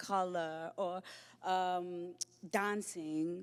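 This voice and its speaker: A woman speaks in a Lesotho accent at a medium pitch with fairly even intonation. The recording is very clean, with a silent background. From South Africa, Johannesburg. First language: Sesotho. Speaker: poet. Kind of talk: panel discussion. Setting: stage with live audience.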